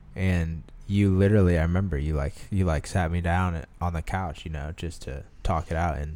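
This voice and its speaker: A man with a very deep, low pitch speaks at a moderate pace with ordinary pitch variation. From US Midwest, Omaha, Nebraska. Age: 20s. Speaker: former employee and photographer. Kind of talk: casual chat.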